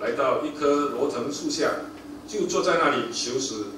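Noticeable background noise, plus audible echo from the room. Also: man. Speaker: preacher reading scripture. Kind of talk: scripture reading in a sermon. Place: church.

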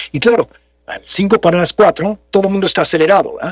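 A man speaks against a quiet background, and the sound is dry with no echo. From Mexico. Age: 60s. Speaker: voice actor and announcer; voice actor, announcer. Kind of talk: interview conversation. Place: home room. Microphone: studio mic.

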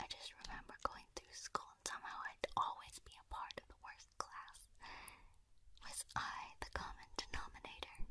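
The voice is whispering. Its pace is moderate. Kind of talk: soft roleplay chat to listener. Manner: soft, musing hushed ASMR voice.

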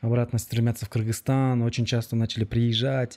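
Against a quiet background, a man speaks at a medium pitch in a dark, mellow tone. His intonation is monotone and flat. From Kyrgyzstan. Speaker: podcast host. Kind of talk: interview. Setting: outdoors. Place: studio. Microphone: studio mic.

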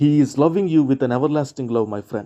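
In a dark, mellow tone, a man speaks at a fairly high pitch with ordinary pitch variation. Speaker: pastor. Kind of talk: fervent intercessory prayer, pleading and declaring blessings over listeners. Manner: passionate, pleading, rising urgent intensity; earnest, preaching and encouraging.

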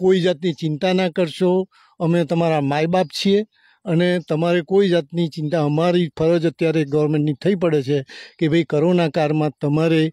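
A man with a high pitch and a dark, mellow tone speaks with monotone, flat intonation and very even loudness. The sound is dry with no echo, over a quiet background. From Gujarat, India (Anand district); Gujarat. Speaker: retired emigrant to the USA; interviewee. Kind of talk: interview answers. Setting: outdoors on a farm. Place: farm. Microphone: handheld.

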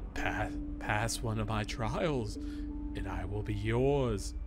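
Over loud music, a man does a raspy, put-on character voice at a very slow pace. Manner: challenging, ominous.

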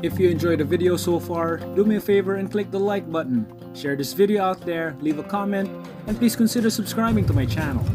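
A man at a very fast pace and a high pitch, with clear music in the background. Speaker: vlogger. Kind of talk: casual vlog chat. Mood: cheerful and upbeat. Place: street. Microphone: phone near.

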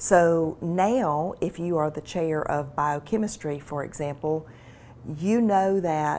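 Her voice is very deep and low in pitch for a woman, with a dark, mellow tone and ordinary pitch variation. She speaks at a fairly slow pace with a Mississippi accent. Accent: Southern US (Mississippi). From US South, rural Mississippi (Carroll County). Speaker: medical school administrator and physician. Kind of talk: interview. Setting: studio. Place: office. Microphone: lapel.

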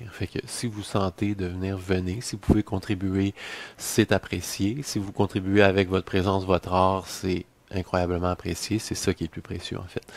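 A man speaks with a very deep, low voice in a Quebec accent. His intonation stays flat and monotone, and the sound is dry with no echo. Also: moderate pace. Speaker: musician and music teacher; music teacher. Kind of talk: promotional video message. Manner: hesitant, many fillers. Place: home room. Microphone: headset.

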